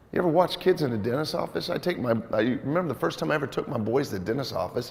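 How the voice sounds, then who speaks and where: A man talks at a very fast pace in an animated tone, his pitch medium and his intonation lively. Noticeable background noise and audible room echo fill the recording. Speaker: volleyball coach running a clinic. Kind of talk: coaching clinic presentation. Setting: gym clinic with audience, mic'd up. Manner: loud.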